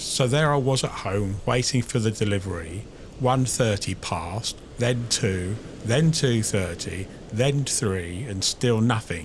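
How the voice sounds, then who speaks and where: Ordinary pitch variation marks this somewhat breathy voice as it goes along at a fairly slow pace. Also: man, medium pitch for a man. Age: 50s. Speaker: vlogger. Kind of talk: casual personal vlog monologue. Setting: outdoors on the beach. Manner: halting.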